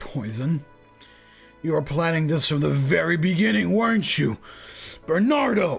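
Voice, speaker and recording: Over faint music in the background, a man shouts in a put-on character voice, sounding strained, with a fairly high pitch, very wide pitch swings and a moderate pace. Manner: angry, accusing, shouting.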